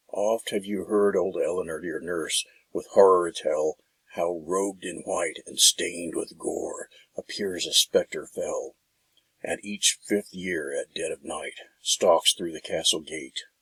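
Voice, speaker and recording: A man adopts a put-on character voice and delivers it at a fairly slow pace. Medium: read story.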